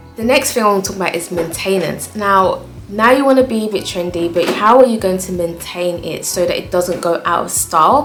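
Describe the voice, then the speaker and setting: Over music in the background and audible room echo, a woman speaks at medium pitch with ordinary pitch variation. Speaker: interior design vlogger. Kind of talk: casual tutorial to camera. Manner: fast.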